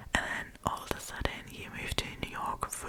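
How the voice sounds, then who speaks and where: A woman whispers at a fairly slow pace. Background noise is noticeable. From Germany. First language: German. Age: 20s. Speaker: ASMR storyteller. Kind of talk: casual chat. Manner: whispering.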